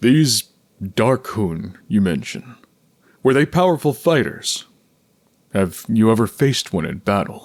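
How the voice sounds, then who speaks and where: Putting on a character voice, a man of medium pitch speaks at a fairly slow pace with very wide pitch swings and long, frequent pauses. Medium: read story. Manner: earnest, measured.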